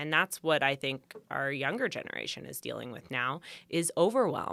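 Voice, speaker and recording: A woman with a Canadian accent and a very deep, low pitch speaks at a moderate pace with a bright, sharp tone, vocal fry and big swings in loudness. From Canada, Vancouver Island. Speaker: pageant contestant and boudoir photographer. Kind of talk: podcast interview.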